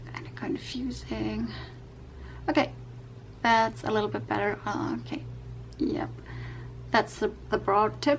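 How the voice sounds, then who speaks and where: A woman with a non-native accent, at a fairly slow pace with long, frequent pauses. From Europe. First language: not English. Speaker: YouTube coloring creator. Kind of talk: tutorial. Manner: halting, many fillers.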